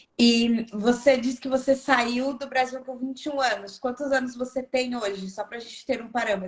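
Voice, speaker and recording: Speaking at a moderate pace with hardly any pauses, a woman with a high pitch keeps fairly even intonation while her loudness swings widely. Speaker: channel host. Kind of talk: interview on a livestream.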